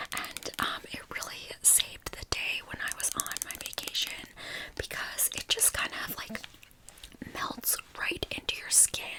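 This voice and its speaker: Amid noticeable background noise, a woman whispers at a fairly slow pace. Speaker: ASMR content creator. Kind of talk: ASMR whisper ramble / product review to camera. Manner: whispered, soft, friendly.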